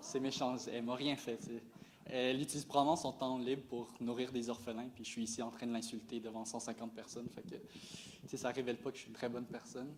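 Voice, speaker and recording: In a Quebec accent, the speaker talks at a very fast pace with fairly even intonation. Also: man, medium pitch for a man. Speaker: stand-up comedian. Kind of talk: stand-up comedy set. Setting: live stage before an audience. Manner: monotone.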